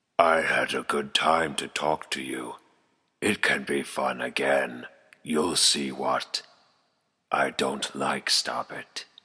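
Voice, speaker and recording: A man in a raspy, put-on character voice, very deep and low in pitch, with a very slow pace and long, frequent pauses. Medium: audio drama. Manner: creepy, taunting.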